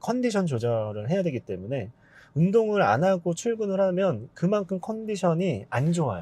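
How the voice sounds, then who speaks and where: A man with a high pitch and a dark, mellow tone speaks at a moderate pace with very wide pitch swings. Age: 40s. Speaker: business owner, content creator. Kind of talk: interview.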